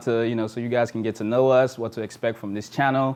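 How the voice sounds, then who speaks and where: With an American accent and a plain, everyday voice, a man talks at a fairly quick pace in a medium pitch. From Texas (Arlington), Sierra Leone roots. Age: 30s. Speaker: lifestyle vlogger. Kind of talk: casual chat.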